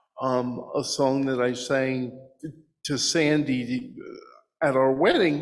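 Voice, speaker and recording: In an American accent, a man speaks very slowly at a medium pitch with fairly even intonation. Room echo is audible. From New Jersey. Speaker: blind presenter at a congregation service. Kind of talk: personal testimony and Q&A. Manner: halting, many fillers.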